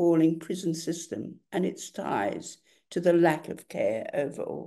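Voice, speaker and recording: Pitched fairly low, a woman's dark, mellow tone carries vocal fry and ordinary pitch variation. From Australia. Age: 80s+. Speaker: writer and activist. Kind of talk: lecture. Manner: formal.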